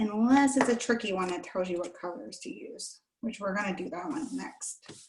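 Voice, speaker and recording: A woman speaks with lively intonation. Hers is a plain, everyday voice. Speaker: children's librarian. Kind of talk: children's craft tutorial. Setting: video call.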